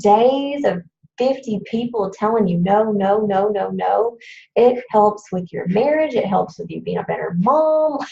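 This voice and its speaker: A somewhat breathy, dark, mellow voice at a fairly slow pace, with ordinary pitch variation. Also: woman. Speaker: fitness coach presenter. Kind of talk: training presentation. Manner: animated.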